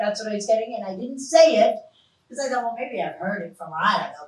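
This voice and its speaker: The woman's voice is fairly high. There is a slight breathiness to it. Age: 60s. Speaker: psychic medium. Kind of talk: live stage psychic reading show. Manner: animated.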